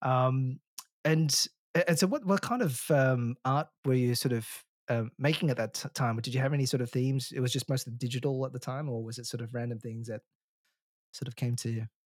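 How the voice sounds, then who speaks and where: Fairly quick and fairly even in intonation, a man speaks in a plain, everyday voice at medium pitch. The recording is very clean with a silent background, a dry, close sound with no echo. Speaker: podcast host. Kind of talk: casual interview chat.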